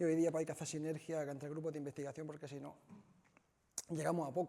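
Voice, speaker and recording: The voice has an Andalusian accent and a dark, mellow tone. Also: man. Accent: Andalusian (Almería). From Spain, Almería (Andalusia). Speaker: chemist, researcher. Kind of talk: lecture. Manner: hesitant, frequent fillers.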